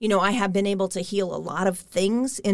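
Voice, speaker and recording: A woman with an American accent speaks at a moderate pace and a medium pitch, in an ordinary speaking voice. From US Midwest, Kansas (Derby, Wichita). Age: 40s. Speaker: energy healer. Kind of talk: interview.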